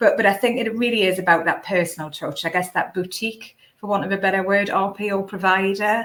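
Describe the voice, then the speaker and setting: A woman talks with a northeast England accent. Her pace is fairly quick and her intonation fairly even. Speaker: recruitment company director. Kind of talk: webinar panel discussion. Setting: live online webinar. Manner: hesitant, many fillers.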